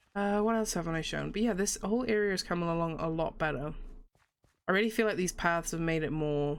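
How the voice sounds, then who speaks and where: A woman rattles along at a very fast pace, her fairly low voice showing ordinary pitch variation. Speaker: gaming youtuber. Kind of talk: let's play commentary. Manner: animated.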